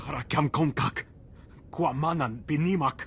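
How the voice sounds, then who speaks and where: Using a put-on character voice at a fairly high pitch, a man speaks at a moderate pace with clear background noise. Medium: video game. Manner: speaks in alien language.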